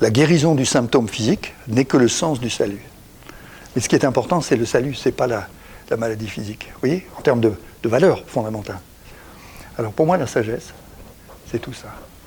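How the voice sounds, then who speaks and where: Against noticeable background noise, a man with a medium pitch and ordinary pitch variation speaks at a fairly quick pace, with long, frequent pauses and big swings in loudness. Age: 70s. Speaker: executive coach and author. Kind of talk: talk on coaching practice. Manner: halting, with frequent repetitions.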